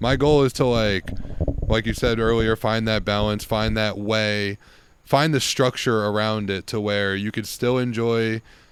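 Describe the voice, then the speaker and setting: This man has a normal speaking voice and fairly even intonation. He goes at a fairly slow pace. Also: fairly low pitch for a man. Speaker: yoga teacher. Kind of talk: casual chat.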